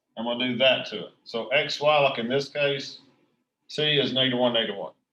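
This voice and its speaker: The man's intonation stays fairly even. His pitch is medium. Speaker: high school math teacher. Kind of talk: tutorial.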